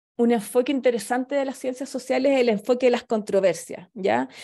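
A woman's high voice in a Chilean accent, dark and mellow in tone, with ordinary pitch variation and a quiet background. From southern Chile. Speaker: anthropologist and lecturer; lecturer. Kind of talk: lecture. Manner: halting, many fillers. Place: home room. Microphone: webcam.

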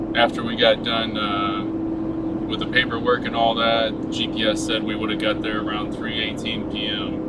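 Over loud background noise, a man speaks at a moderate pace, the sound dry with no echo. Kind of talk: casual vlog chat. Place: car. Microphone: camera far.

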